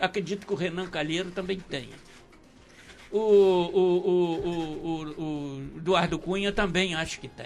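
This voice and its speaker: This man has a high pitch and fairly even intonation. He speaks at a fairly slow pace, with big swings in loudness. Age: 70s. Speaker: radio talk show host. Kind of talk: political radio debate.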